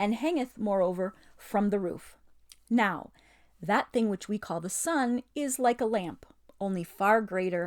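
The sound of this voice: The unforced reading voice moves its pitch up and down to an ordinary degree.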